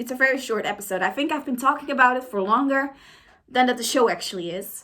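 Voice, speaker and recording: A woman talks at a very fast pace with a non-native accent. Her voice is high-pitched, with a bright, sharp tone. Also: ordinary pitch variation. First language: not English. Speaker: YouTuber. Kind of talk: reaction commentary. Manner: casual, hesitant with fillers.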